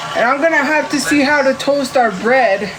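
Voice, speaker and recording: Audible room echo and noticeable background noise surround a woman who speaks with a high pitch at a fairly slow pace. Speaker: live streamer. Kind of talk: casual cooking livestream. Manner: loud.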